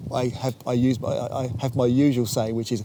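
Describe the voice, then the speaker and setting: This man talks at a medium pitch. Background noise is noticeable. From London. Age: 60s. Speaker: trainspotter. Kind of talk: interview. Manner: halting.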